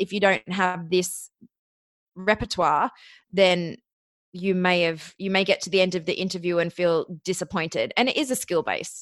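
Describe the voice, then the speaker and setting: An Australian accent at a moderate pace, against a quiet background. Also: woman, dry, close sound with no echo. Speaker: podcast booking agency founder. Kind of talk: interview. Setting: remote internet call.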